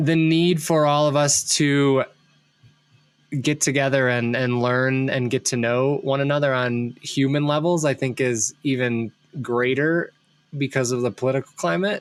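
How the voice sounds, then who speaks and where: With music in the background, a man with an American accent talks at a fairly slow pace in a medium pitch, his loudness very even and his intonation fairly even. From US Midwest, Ohio. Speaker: podcast host, brand consultant. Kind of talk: casual interview chat.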